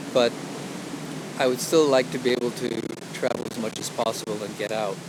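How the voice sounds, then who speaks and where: A man with a medium pitch keeps his intonation fairly even while noticeable background noise carries on. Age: 60s. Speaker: outdoor vlogger and illustrator. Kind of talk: casual vlog monologue. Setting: outdoors on a hike. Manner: hesitant, many fillers. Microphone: action camera mic, poor sound.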